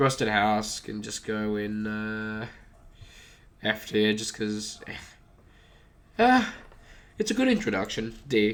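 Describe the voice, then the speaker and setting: In a fairly low pitch, a man talks at a very slow pace with monotone, flat intonation and long, frequent pauses. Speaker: gaming youtuber. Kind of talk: casual commentary. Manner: casual, hesitant with fillers.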